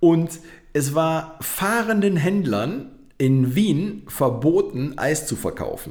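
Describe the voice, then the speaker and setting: Speech comes at a very slow pace with lively intonation. Room echo is audible. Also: man, fairly high pitch for a man. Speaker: podcast co-host. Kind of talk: casual chat. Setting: home studio.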